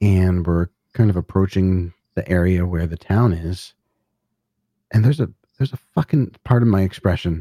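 A man with an American accent, very deep, low pitch, dark, mellow tone and ordinary pitch variation, with long, frequent pauses, in a dry, close sound with no echo on a very clean recording with a silent background. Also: moderate pace. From US Northeast. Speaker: podcaster, musician, author and ghost hunter. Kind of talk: casual storytelling interview.

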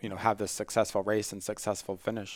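A man with an American accent and a fairly low pitch, dry and close with no echo, on a very clean recording with a silent background. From Long Island, New York. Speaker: sports medicine doctor and researcher. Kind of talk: interview answers.

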